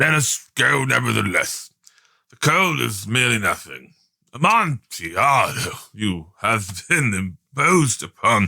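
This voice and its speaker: A man's put-on character voice at medium pitch. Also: fairly slow pace. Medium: read story. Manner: excitable, boastful.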